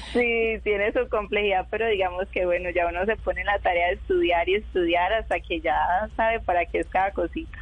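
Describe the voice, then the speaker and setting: The loudness holds very even throughout, with noticeable background noise behind the voice. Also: woman, fairly quick pace. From Colombia, Urabá region of Antioquia. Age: 20s. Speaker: tram driver and model. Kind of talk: interview.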